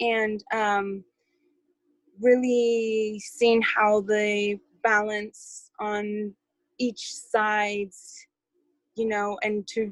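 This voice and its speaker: A woman's fairly high voice at a very slow pace, broken by long, frequent pauses. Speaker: community call participant. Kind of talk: group call report-back. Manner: halting, many fillers.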